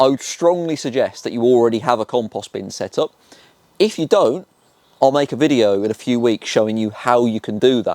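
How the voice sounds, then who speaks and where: In a Birmingham accent, a man speaks at a fairly quick pace with a medium pitch and ordinary pitch variation, the sound dry and close with no echo. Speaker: gardening youtuber. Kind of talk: tutorial. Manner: enthusiastic.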